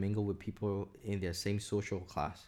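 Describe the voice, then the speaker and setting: A man speaks with a Burmese accent. His pace is moderate. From Myanmar. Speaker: podcast guest, recent graduate. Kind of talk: casual chat.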